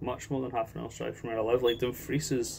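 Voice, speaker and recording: A man is speaking. He has a Scottish accent. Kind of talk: casual talk to camera, rant.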